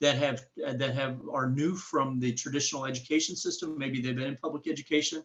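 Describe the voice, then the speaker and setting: This man's voice sits at a fairly high pitch and sounds somewhat breathy. He speaks at a fairly quick pace. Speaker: workshop presenter. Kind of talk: webinar presentation. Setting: webinar. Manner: fast when behind schedule; frequent fillers (uh, um).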